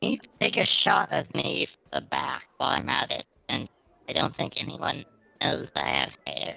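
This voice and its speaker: A man's put-on character voice with big swings in loudness. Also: moderate pace. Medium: actual play.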